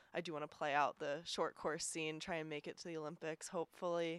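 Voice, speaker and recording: In a dry, close recording with no echo, a woman with a plain, everyday voice talks at a fairly quick pace in a fairly low pitch. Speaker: podcast editor and triathlete. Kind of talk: casual chat.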